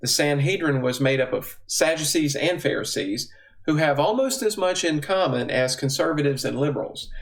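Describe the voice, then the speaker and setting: A man with a Southern US accent talks at a moderate pace with hardly any pauses. His pitch is fairly high with ordinary variation, and audible room echo surrounds it. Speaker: bible teacher. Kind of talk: teaching talk.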